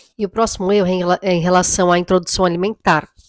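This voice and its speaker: The woman's pitch sits fairly low. She talks at a very fast pace. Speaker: mother vlogger. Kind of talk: casual vlog talk. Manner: halting.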